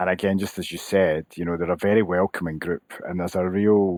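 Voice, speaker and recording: In a Scottish accent, a man with a very deep, low pitch talks at a fairly quick pace and fairly even intonation, in a dry, close sound with no echo on a very clean recording with a silent background. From Scotland, Glasgow. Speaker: association CEO, former accountant. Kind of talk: podcast interview.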